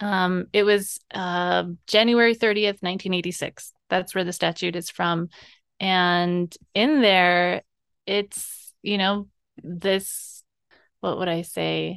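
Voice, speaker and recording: A woman speaks at a medium pitch with an American accent. Her pace is very slow, and the background is quiet. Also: fairly even intonation. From Navajo Nation, Arizona (Bennett Freeze area). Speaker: cooperative development worker. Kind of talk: interview.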